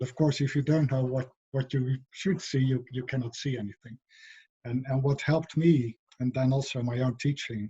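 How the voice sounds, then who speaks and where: A man's medium-pitched, somewhat breathy voice with a dark, mellow tone, a non-native accent, fairly even intonation and a moderate pace. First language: not English. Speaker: philosopher of education, professor. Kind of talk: interview conversation. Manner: hesitant, many fillers and repetitions.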